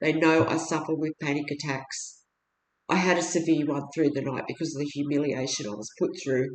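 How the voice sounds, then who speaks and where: Talking at a fairly quick pace, a woman with an Australian accent uses a very deep, low pitch and fairly even intonation. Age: 60s. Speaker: video blogger appealing for help. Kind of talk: personal testimony monologue. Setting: at home. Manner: halting, with fillers and restarts.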